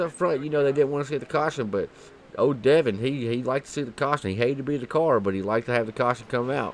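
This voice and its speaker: Here a man speaks in an animated tone. He talks with a slight Southern accent. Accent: slight southern twang. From Kentucky. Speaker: sim racing commentator. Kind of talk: live commentary. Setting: broadcast booth.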